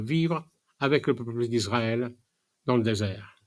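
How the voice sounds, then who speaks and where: A man's medium-pitched voice, very slow in pace, with ordinary pitch variation, on a very clean recording with a silent background. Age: 80s+. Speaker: preacher. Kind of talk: sermon. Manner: halting, many hesitations.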